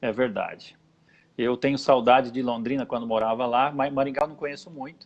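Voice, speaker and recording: Speaking at a fairly quick pace, a man with a medium pitch keeps a monotone, flat intonation while his loudness swings widely. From interior of São Paulo state, Brazil. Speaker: pastor and show host. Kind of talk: casual chat. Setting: live video broadcast.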